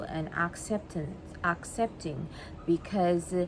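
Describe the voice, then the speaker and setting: Speaking with a Guyanese accent, a woman uses a medium pitch, a fairly slow pace and ordinary pitch variation. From Guyana. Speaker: vlogger. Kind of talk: monologue to camera. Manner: halting, many repetitions.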